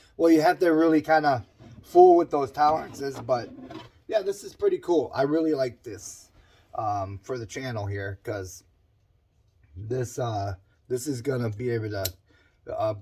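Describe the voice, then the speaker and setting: Somewhat breathy and dark, mellow in tone, this man's medium-pitched voice moves at a moderate pace with very wide pitch swings and long, frequent pauses. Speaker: small engine mechanic. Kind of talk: casual talk to camera.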